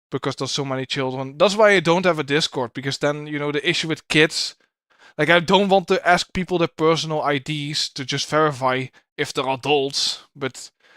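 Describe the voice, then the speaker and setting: In a Dutch accent, a man speaks at a fairly quick pace with a bright, sharp tone and fairly even intonation, in a dry, close sound with no echo. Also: fairly high pitch for a man. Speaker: streamer reacting to videos. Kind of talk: live stream reaction commentary. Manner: stutters a little; fast.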